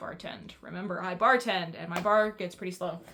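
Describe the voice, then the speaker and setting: An animated woman at a fairly quick pace, with noticeable background noise. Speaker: book reviewer. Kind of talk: casual chat. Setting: at home on couch. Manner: fast.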